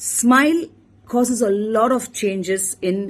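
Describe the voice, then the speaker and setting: A woman speaks with a Tamil accent. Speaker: emergency physician. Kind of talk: motivational talk.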